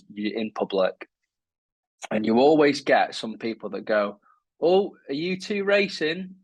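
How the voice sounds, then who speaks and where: With a Lancashire accent, a man speaks in very wide pitch swings. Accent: northern English (Lancashire). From northern England, Lancashire coast. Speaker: wheelchair athlete. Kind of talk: casual interview chat.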